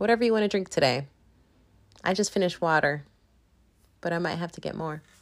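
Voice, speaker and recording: A woman mumbles at a very fast pace in a fairly low pitch, with ordinary pitch variation and long, frequent pauses. The recording is very clean, with a silent background. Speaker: podcast host. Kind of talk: casual solo monologue. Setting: at home. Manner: mumbling.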